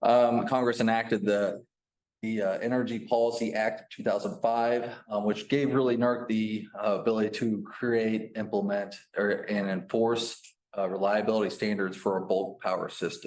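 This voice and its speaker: A man speaks at a medium pitch. His intonation stays fairly even. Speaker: utility compliance manager. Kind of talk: presentation. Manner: fast.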